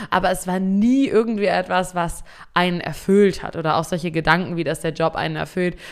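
A woman's fairly low voice at a fairly quick pace, an ordinary speaking voice. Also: ordinary pitch variation. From Germany, East Frisia (Emden). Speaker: podcast host, social selling coach. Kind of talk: solo podcast monologue. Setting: home studio at computer.

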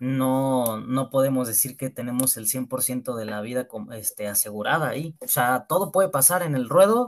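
A man at medium pitch uses an unremarkable speaking voice with ordinary pitch variation, a moderate pace, hardly any pauses and big swings in loudness, recorded very cleanly with a silent background. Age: 20s. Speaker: young bullfighter and event promoter. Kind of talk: casual interview.

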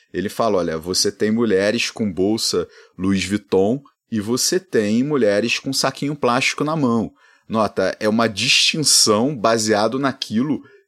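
A man with an unremarkable speaking voice at medium pitch, ordinary pitch variation, a fairly slow pace, and a very clean recording with a silent background. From Rio de Janeiro, Brazil. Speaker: economics professor, podcast co-host. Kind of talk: casual chat. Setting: at home.

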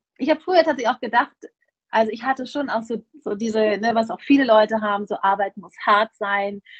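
Heard here is a normal speaking voice with ordinary pitch variation. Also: woman. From Germany. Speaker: festival organizer. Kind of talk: interview.

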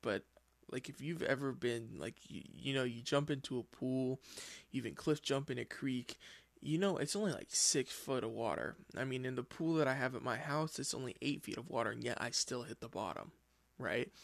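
His voice shows vocal fry. The speaker is a man with a medium pitch. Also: quiet background. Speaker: podcast host. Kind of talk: casual solo monologue. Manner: informal, filler-heavy.

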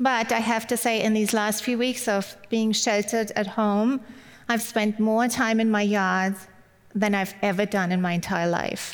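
A woman with a German accent speaks at a fairly slow pace in a fairly high pitch, her loudness very even and her intonation monotone and flat. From Germany. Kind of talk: sermon. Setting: online video event.

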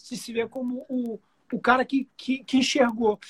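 A man with an extremely high pitch, in a dry, close sound with no echo. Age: 40s. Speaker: guitarist and music producer. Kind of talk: casual chat.

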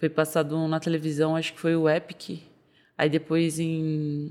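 A woman with a very deep, low voice speaks at a fairly slow pace. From São Paulo, north zone. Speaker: MMA fighter. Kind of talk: casual interview.

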